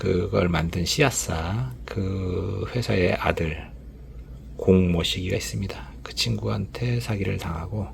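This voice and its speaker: Over noticeable background noise, a man with a very deep, low pitch speaks with very wide pitch swings. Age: 50s. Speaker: former commercial director, YouTuber. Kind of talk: personal storytelling monologue. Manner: casual, many filler sounds.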